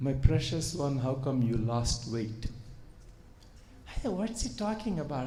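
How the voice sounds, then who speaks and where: A man with a Telugu accent speaks at a fairly slow pace. Audible room echo surrounds the voice. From India. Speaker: surgeon and spiritual speaker. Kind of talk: spiritual talk to audience. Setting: retreat hall with audience. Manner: hesitant with many fillers.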